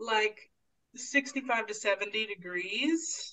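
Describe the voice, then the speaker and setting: A woman with an American accent, lively intonation and a very slow pace. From US Pacific Northwest, Portland, Oregon. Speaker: community educator and cyclist. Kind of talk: casual interview.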